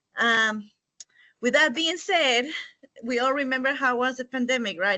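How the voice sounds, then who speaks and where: Here is a woman with a Spanish accent. Her high voice shows ordinary pitch variation. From Mexico. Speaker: immigrant parent storyteller. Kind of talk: personal testimony.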